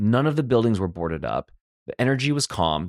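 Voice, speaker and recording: A man's very fast speech with an American accent and lively intonation, in a very clean recording with a silent background and a dry, close sound with no echo. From US West Coast, Los Angeles. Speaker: life coach. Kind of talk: personal storytelling monologue. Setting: solo recording.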